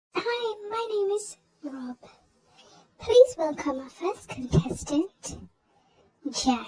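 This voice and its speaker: In a cartoonish character voice of extremely high pitch, the speaker goes at a very slow pace with very wide pitch swings and long, frequent pauses. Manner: bright, announcing.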